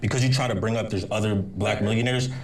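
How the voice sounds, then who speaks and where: With an American accent and fairly low pitch, a man speaks with ordinary pitch variation amid audible room echo and noticeable background noise. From US, Los Angeles. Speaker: advocate for the unhoused. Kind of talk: heated debate. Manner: animated.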